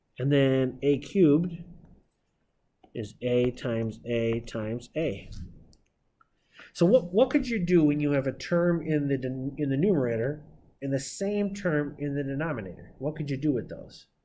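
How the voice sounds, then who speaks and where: Amid audible room echo, a man with a dark, mellow tone speaks with ordinary pitch variation and long, frequent pauses. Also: fairly high pitch for a man, moderate pace. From Northeastern Pennsylvania (Scranton). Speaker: math teacher. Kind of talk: lecture. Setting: classroom.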